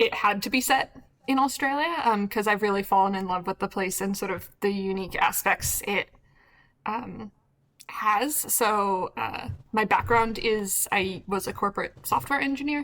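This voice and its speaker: A woman with an American accent and an unremarkable speaking voice talks at a moderate pace and medium pitch, with ordinary pitch variation. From United States. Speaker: game developer. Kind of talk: panel discussion.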